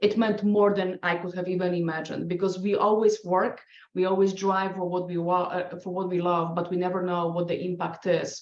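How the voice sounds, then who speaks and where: A woman's medium-pitched voice in a Polish accent, fairly quick, with monotone, flat intonation. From Poland. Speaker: scientist and adjunct professor, award winner. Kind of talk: podcast panel interview. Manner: halting, many restarts.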